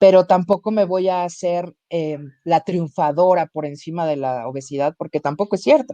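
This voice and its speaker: Her voice is fairly low, with a dark, mellow tone and ordinary pitch variation, delivered at a moderate pace in a dry, close sound with no echo. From Mexico. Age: 40s. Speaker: comedian. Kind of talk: interview.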